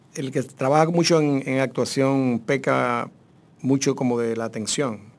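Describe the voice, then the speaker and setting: Pitch shifts in an ordinary way as the words come very slowly. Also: man. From Dominican Republic, Santo Domingo. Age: 50s. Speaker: actor. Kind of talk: casual chat.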